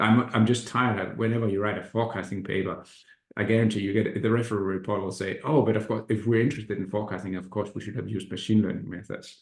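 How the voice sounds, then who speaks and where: Somewhat breathy, the voice rushes at a very fast pace with monotone, flat intonation. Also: man, fairly low pitch for a man. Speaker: economics professor. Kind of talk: academic seminar talk. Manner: halting, many fillers and repetitions.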